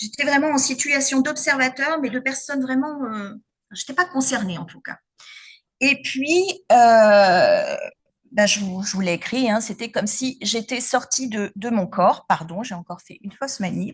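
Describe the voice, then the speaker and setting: The intonation is lively, with big swings in loudness. The pace is fairly slow. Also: woman, high pitch for a woman. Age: 50s. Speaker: patient giving testimony. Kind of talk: testimony talk at symposium. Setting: symposium with audience. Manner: hesitant, many fillers.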